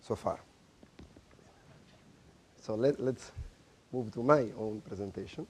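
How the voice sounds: At a slow pace, the voice has a slightly mellow tone with a slightly husky edge. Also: man, fairly low pitch for a man, ordinary pitch variation.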